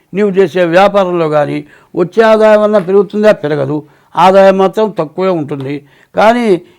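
On a very clean recording with a silent background, a man with high pitch speaks with ordinary pitch variation. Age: 80s+. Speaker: astrologer. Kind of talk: horoscope talk.

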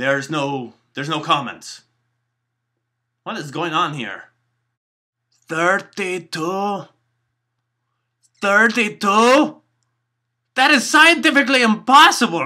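A cartoonish character voice from a man, high-pitched with very wide pitch swings, at a fairly slow pace with long, frequent pauses, on a very clean recording with a silent background. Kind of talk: comedy puppet vlog to camera.

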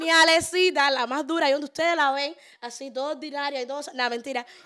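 A woman's raised, projected voice, high-pitched and bright and sharp, animated, at a very fast pace over a quiet background. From Cuba, Havana; Cuba. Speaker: podcast host and social media influencer; podcast host, social media influencer. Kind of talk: casual chat. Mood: playful, joking. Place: studio. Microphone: studio mic.

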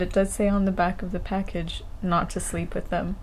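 A woman at a fairly slow pace, her intonation fairly even. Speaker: travel vlogger. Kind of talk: casual vlog chat. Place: home room. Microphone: phone near.

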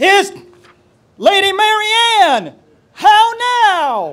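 An extremely high, put-on character voice. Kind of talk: archaic, chivalric. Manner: raised voice, calling out.

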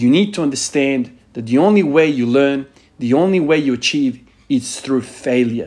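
A man in an unremarkable speaking voice talks at a fairly slow pace, his fairly high pitch carrying lively intonation. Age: 30s. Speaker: fitness vlogger who works with the dead (body bags, exposure to death). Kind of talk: monologue to camera.

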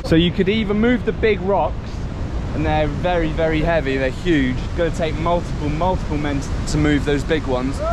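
A man talks at a fairly quick pace in a dry recording with no echo and noticeable background noise. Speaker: travel vlogger. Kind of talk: casual vlog commentary. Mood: amazed, slightly anxious. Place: open country. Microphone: phone near.

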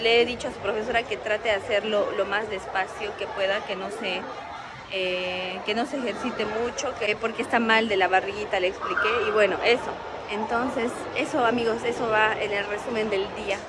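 Crowd noise fills the background as a woman talks at a moderate pace. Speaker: family vlogger. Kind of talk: casual vlog chat. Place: shop. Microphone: phone near.

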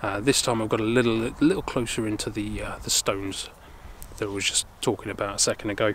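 Light background noise sits behind a man who talks at a fairly quick pace, the sound dry with no echo. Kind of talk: casual vlog chat. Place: open country. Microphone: phone near.

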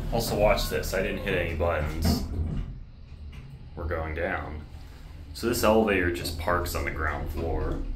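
A man at a moderate pace, ordinary pitch variation, and noticeable background noise. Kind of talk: casual commentary. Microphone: phone near.

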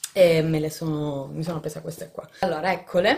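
With light background noise, a woman speaks at a moderate pace in an ordinary speaking voice with fairly low pitch. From Italy. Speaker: family vlogger, mother; family vlogger. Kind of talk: casual vlog talking to camera. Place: home room. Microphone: phone near.

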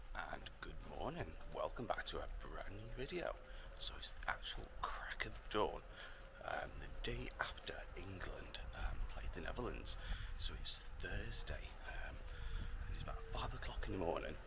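A man is whispering at a fairly slow pace. He leaves long, frequent pauses. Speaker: walking vlogger. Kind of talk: casual vlog chat. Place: street. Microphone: lapel.

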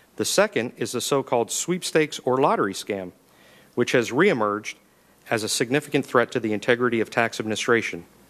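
The man talks at a very fast pace. His intonation is lively. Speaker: federal investigations official. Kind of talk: congressional testimony. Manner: formal. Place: hall. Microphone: podium.

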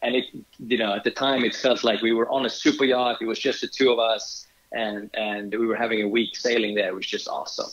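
The speaker has a Swedish accent. The pace is fairly quick. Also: man. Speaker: yacht charter company owner. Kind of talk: interview. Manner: halting.

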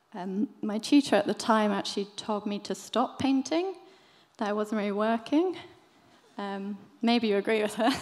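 A woman speaks with a southern English accent in a fairly high pitch. Her pace is moderate and her pitch variation ordinary. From southern England, Brighton; southern England. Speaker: illustrator; speaker. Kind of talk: talk at a live event. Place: stage. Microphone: podium.

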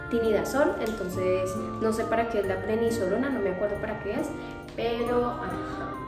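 Someone speaks at a moderate pace with clear music in the background. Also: woman. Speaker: vlogger caring for a relative in hospital. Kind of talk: casual vlog chat.

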